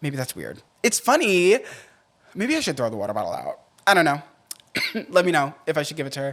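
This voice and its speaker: A man's very fast, fairly high-pitched delivery with vocal fry, very wide pitch swings, big swings in loudness and long, frequent pauses. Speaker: podcast host. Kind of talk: casual podcast monologue.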